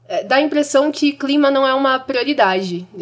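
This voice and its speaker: A woman speaks in a plain, everyday voice. Her pace is moderate, with ordinary pitch variation. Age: 20s. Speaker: young climate activist. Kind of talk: casual chat. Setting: studio.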